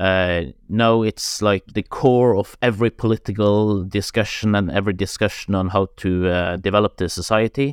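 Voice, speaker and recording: A man with a Norwegian accent speaks at a moderate pace in a fairly low voice with ordinary pitch variation, recorded very cleanly against a silent background with a dry, close sound and no echo. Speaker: director of a climate foundation. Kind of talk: interview. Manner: halting.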